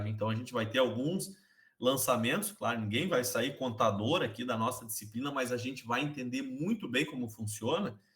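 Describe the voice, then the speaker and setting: A man talks in an unremarkable speaking voice at medium pitch. His pace is moderate and his pitch variation ordinary. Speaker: accounting teacher. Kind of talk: online class lecture.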